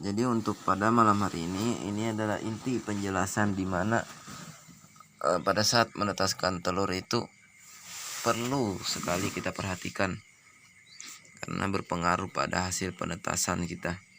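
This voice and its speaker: A man talks at a moderate pace with fairly even intonation. He leaves long, frequent pauses, and background noise is noticeable. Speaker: duck breeder. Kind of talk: tutorial.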